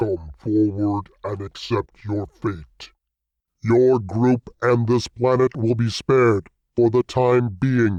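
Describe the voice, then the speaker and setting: A man puts on a robotic character voice at a medium pitch and a very slow pace. The background is quiet. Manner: commanding, menacing.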